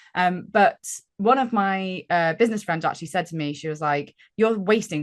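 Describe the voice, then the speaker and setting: With a British accent, a woman talks at a fairly quick pace with lively intonation against a quiet background. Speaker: gamification consultant. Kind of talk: casual interview chat. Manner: chatty.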